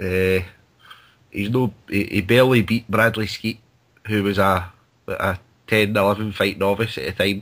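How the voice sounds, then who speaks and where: A man with a strong Scottish accent speaks at a moderate pace and a fairly low pitch. He leaves long, frequent pauses. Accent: thick Scottish. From Scotland. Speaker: boxing pundit. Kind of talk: casual chat. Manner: halting.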